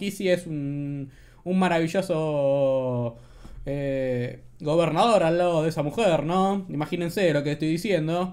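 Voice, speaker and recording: The speaker is a man with a fairly high pitch. His pitch varies in an ordinary way. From Argentina. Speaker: political commentary youtuber. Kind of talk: casual commentary on news clips. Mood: sarcastic, mocking.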